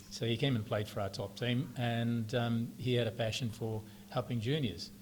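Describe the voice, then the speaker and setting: A somewhat breathy man's voice in a New Zealand accent, with ordinary pitch variation. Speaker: club founding life member. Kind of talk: interview.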